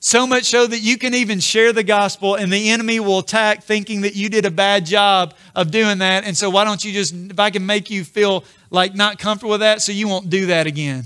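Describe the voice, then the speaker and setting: The voice is raised and projected, bright and sharp in tone, with fairly even intonation. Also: man, high pitch for a man. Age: 40s. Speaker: pastor. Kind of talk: sermon.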